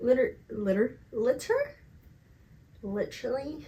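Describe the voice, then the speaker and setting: A woman speaks in a somewhat breathy voice. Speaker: podcast host. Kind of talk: casual monologue.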